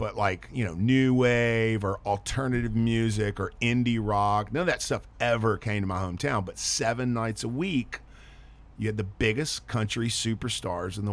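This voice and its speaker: Here a man speaks with a Texan accent at a moderate pace and ordinary pitch variation. The recording is very clean, with a silent background. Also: medium pitch for a man. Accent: Texan, noticeable. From Texas. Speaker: touring musician and filmmaker. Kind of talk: radio interview. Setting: studio. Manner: casual, chatty.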